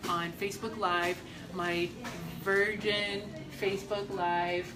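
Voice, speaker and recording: A woman speaks at a medium pitch with fairly even intonation. Audible room echo and noticeable background noise fill the recording. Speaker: estate planning lawyer. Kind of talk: live stream talk to viewers. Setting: hospital. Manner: loud.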